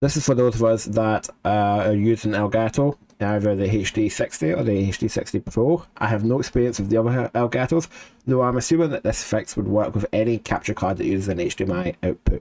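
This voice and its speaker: At a fairly quick pace, a man speaks in a fairly low pitch with ordinary pitch variation and a dark, mellow tone. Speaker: gaming YouTuber. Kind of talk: casual tech tutorial to camera. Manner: casual, hesitant.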